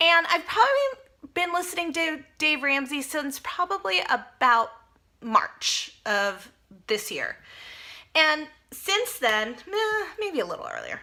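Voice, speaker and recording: Using a raised, projected voice, a woman speaks very slowly in a high pitch with a bright, sharp tone and very wide pitch swings. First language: Spanish. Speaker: personal finance vlogger. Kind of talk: casual vlog monologue. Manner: conversational, with fillers and self-corrections.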